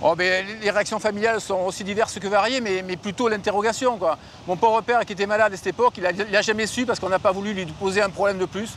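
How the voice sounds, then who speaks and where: Against noticeable background noise, a man with a high pitch speaks at a very fast pace with fairly even intonation. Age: 60s. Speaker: environmental activist. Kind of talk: testimony.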